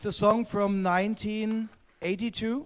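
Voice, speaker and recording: With a German accent, a man talks fairly slowly in a high-pitched voice. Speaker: vinyl collector guest. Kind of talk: live-streamed casual chat. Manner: halting.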